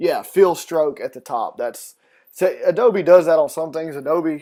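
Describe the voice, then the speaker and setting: At a fairly slow pace, the speech comes through in a very clean recording with a silent background. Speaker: graphic design instructor. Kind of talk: live-streamed tutorial. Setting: live stream.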